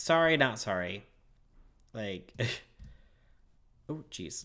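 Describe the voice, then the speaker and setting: A man's fairly low voice carries a bright, sharp tone and vocal fry, moving at a fairly slow pace with very wide pitch swings. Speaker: YouTube livestreamer. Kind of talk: casual livestream chat. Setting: livestream. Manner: rambling, halting.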